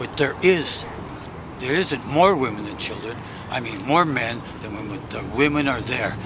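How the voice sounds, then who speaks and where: A man's lively intonation and big swings in loudness, with audible room echo and noticeable background noise. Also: medium pitch for a man, moderate pace. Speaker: homeless man interviewed. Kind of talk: interview. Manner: halting.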